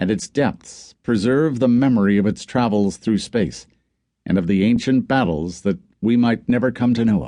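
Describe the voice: Quiet background and ordinary pitch variation in plain reading aloud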